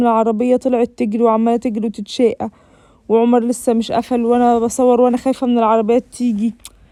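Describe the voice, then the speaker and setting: The voice has a dark, mellow tone and monotone, flat intonation, delivered at a fairly quick pace. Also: woman. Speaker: vlogger. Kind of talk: vlog voiceover narration.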